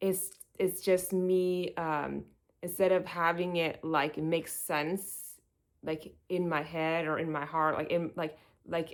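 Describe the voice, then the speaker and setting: On a very clean recording with a silent background, a woman speaks very slowly in a fairly low, monotone voice with flat intonation. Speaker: video blogger. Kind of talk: casual vlog monologue to camera. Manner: halting, many fillers and restarts.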